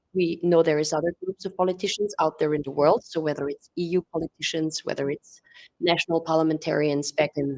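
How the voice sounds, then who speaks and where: A woman's fairly low voice at a fairly quick pace, dry and close with no echo. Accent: German-speaking European. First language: German. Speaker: press conference moderator. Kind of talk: press conference remarks. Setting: press conference room with audience and live stream.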